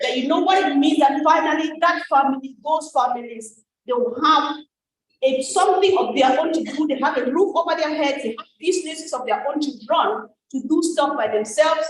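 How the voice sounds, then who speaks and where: Animated in tone, a woman with an African accent and a high pitch talks at a moderate pace with ordinary pitch variation. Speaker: network marketing ambassador. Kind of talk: testimony.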